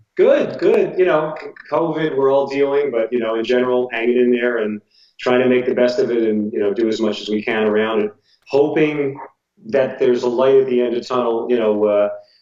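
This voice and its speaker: Speaking at a fairly quick pace, a man uses a plain, everyday voice with a medium pitch and fairly even intonation. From New Jersey, US. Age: 60s. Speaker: jazz drummer and teacher. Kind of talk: casual interview.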